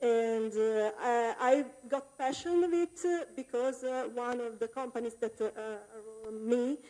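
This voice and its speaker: In an Italian accent, the speaker goes at a very slow pace. The tone is dark and mellow. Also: woman. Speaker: game UI programmer. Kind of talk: conference talk. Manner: halting, many fillers; improvised.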